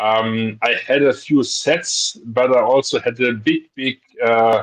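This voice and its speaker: A man speaks with a non-native accent at medium pitch. His intonation stays fairly even. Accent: foreign. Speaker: guest. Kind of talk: casual chat. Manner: halting.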